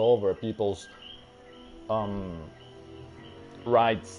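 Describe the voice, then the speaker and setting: With music in the background, a man speaks at a very slow pace and with fairly even intonation. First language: Spanish. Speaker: gaming streamer. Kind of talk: casual stream talk. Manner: halting.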